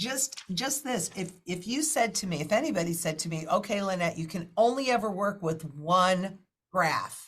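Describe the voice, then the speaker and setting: A woman's normal speaking voice at medium pitch, moderate pace and lively intonation. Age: 60s. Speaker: financial market analyst. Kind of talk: interview.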